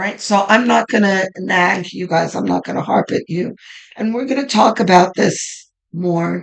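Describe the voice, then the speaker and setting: A woman speaks with ordinary pitch variation and some vocal fry. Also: medium pitch for a woman. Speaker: tarot reader. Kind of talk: tarot reading monologue. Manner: casual, with many fillers.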